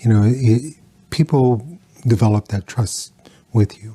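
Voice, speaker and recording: A man with a dark, mellow, somewhat breathy tone speaks at a fairly slow pace with ordinary pitch variation, the sound dry and close with no echo. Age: 60s. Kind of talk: interview. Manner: halting, many fillers.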